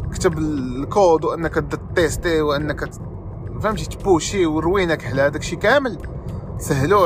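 A man is speaking. Background noise is noticeable. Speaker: podcast host, software developer. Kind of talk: casual monologue.

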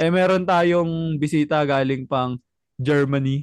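Recorded dry and close with no echo against a quiet background, a man talks with fairly even intonation. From Philippines. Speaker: podcast host. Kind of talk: casual chat. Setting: video call.

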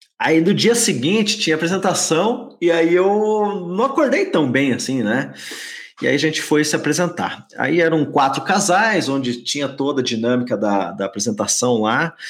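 With a Curitiba accent, a man speaks at a moderate pace and a fairly high pitch, showing vocal fry and very wide pitch swings. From Curitiba, Paraná, southern Brazil. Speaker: business consultant for dance schools. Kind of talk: casual chat.

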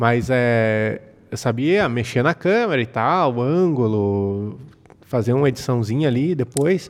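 A man speaks in an ordinary speaking voice at a medium pitch. His intonation is lively, with big swings in loudness. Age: 30s. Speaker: photographer and videographer. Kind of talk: casual chat.

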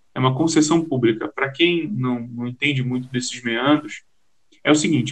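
This man has an unremarkable speaking voice, fairly high in pitch. His intonation stays fairly even. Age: 30s. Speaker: journalist. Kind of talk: interview.

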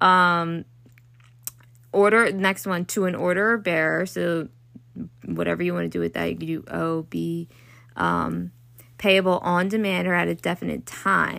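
In a very clean recording with a silent background, a woman with a Baltimore accent talks at a fairly slow pace, leaving long, frequent pauses. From US, Baltimore. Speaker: law student podcaster. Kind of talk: casual study tutorial. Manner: rambling, halting with fillers.

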